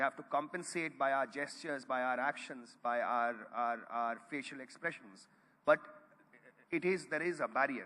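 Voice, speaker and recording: The man's voice sits fairly high and has a bright, sharp tone. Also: ordinary pitch variation, moderate pace. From North India, Gorakhpur. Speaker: Urdu storyteller. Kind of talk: panel discussion. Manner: halting.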